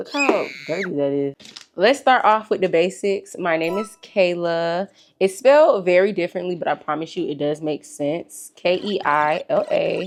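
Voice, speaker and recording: With a fairly low pitch, a woman speaks at a moderate pace against a quiet background. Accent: American. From US South, Georgia (McDonough, Atlanta area). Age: 20s. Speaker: lifestyle vlogger. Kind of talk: casual chat. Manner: animated.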